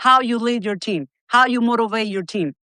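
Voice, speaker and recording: An animated woman's voice, fairly high-pitched, in a Spanish accent, with a dry, close sound, no echo and a quiet background. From Cuba. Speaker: healthcare company executive. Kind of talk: interview.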